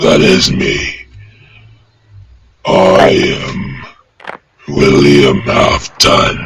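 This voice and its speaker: Putting on a raspy character voice, a man speaks very slowly in a very deep, low pitch with long, frequent pauses. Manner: halting, slow.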